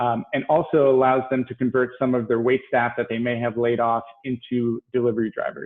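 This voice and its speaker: At a medium pitch, a man talks with monotone, flat intonation. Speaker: downtown business development official. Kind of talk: panel presentation. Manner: fast.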